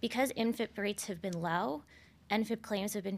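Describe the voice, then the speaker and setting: In a very clean recording with a silent background, a woman with an American accent talks very fast with vocal fry and ordinary pitch variation. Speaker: attorney panelist. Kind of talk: panel discussion.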